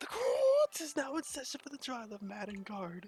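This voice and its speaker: With music in the background, a high-pitched, put-on character voice speaks at a moderate pace. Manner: pompous, authoritative.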